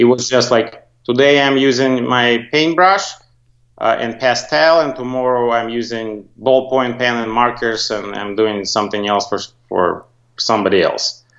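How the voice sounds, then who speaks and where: A man's medium-pitched voice with a non-native accent, moderate pace, and ordinary pitch variation. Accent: foreign accent, non-native. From Soviet Union. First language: Russian. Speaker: graphic designer, agency owner. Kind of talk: interview.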